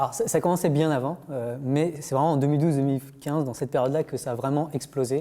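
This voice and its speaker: The speech moves at a very fast pace. The recording is very clean, and the background is silent. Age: 30s. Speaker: AI researcher. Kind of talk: explanatory interview. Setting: TV studio. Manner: hesitant, many fillers.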